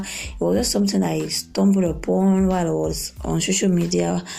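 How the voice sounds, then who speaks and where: Audible room echo colors the recording. A woman talks at a moderate pace. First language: not English. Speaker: podcast host and author. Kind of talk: casual podcast monologue. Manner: halting, many fillers.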